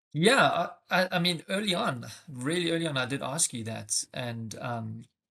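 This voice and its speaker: Speaking at a moderate pace with a South African accent, a man uses a fairly high, bright and sharp voice that makes very wide pitch swings. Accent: South African, noticeable. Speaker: tech sales rep. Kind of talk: interview podcast. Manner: hesitant, many fillers.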